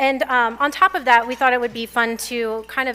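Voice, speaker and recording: Speaking at a fairly high pitch, a woman shows ordinary pitch variation. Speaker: commercial real estate data presenter. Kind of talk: conference presentation. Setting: luncheon event with audience. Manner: fast.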